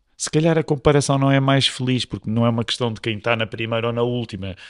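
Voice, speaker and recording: In an unremarkable speaking voice with fairly even intonation, the speaker comes through dry and close with no echo over a quiet background. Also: man. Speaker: pastor. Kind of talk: casual chat.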